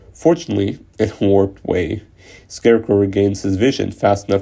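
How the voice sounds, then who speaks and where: Vocal fry runs through a man's dark, mellow tone as he talks at a fairly quick pace in a fairly low pitch with ordinary pitch variation. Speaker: podcaster retelling a comic story. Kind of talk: story narration.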